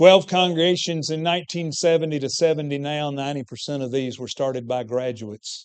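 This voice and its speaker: With hardly any pauses, a man talks at a fairly quick pace in an unremarkable speaking voice, fairly high in pitch with ordinary pitch variation. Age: 60s. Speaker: preacher and teacher at a preaching school. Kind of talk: church presentation.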